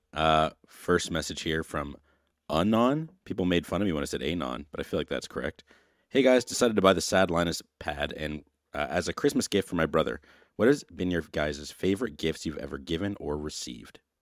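Vocal fry marks this fairly quick, lively delivery, heard dry and close with no echo on a very clean recording with a silent background. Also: man, very deep, low pitch for a man. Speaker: sponsor reader and question reader. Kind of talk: reading sponsor spot and viewer questions.

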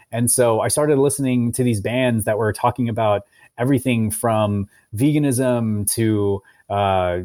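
A man with an American accent speaks at a medium pitch and a fairly slow pace, his tone dark and mellow. The recording is very clean with a silent background, and the sound is dry and close with no echo. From US Midwest, Cincinnati, Ohio. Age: 30s. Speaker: nonprofit president. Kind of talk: interview. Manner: hesitant, many fillers.

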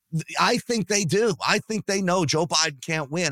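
On a very clean recording with a silent background and a dry, close sound with no echo, a man speaks at a moderate pace in a fairly high voice, with a bright, sharp, animated tone and very wide pitch swings. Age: 50s. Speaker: political commentator, podcast host. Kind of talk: casual chat.

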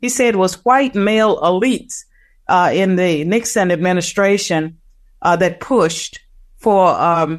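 In a normal speaking voice, a woman talks at a medium pitch and a fairly slow pace, with ordinary pitch variation and very even loudness against a quiet background. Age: 60s. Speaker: political scientist. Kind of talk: interview.

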